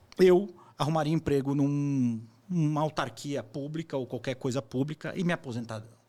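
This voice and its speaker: At a moderate pace, a man talks in a plain, everyday voice pitched fairly high. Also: ordinary pitch variation. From Brazil. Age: 40s. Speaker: entrepreneur and investor. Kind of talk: interview conversation. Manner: casual, with fillers and repetitions.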